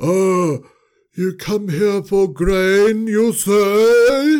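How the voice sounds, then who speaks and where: Using a put-on character voice, a man speaks high-pitched with lively intonation. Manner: pretending, stern.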